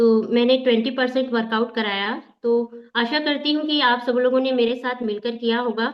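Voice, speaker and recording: The intonation is monotone and flat. There are hardly any pauses. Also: woman, high pitch for a woman. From Bastar, Chhattisgarh, India. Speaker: workout leader and member. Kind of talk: testimony.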